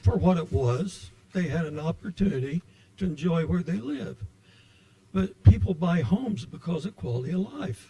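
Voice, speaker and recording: A man speaks with a dark, mellow tone and vocal fry at a fairly high pitch, swinging very widely in pitch. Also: moderate pace. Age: 80s+. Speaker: public commenter. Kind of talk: public comment at meeting.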